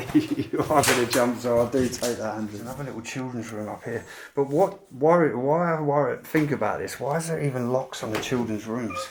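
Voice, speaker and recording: Fairly quick speech with hardly any pauses and ordinary pitch variation, over noticeable background noise. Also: man, medium pitch for a man. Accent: British. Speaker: urban explorer vlogger. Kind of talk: exploration vlog narration.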